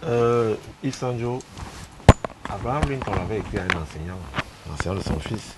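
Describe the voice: Over faint background noise, a man with a fairly low pitch talks at a moderate pace with lively intonation.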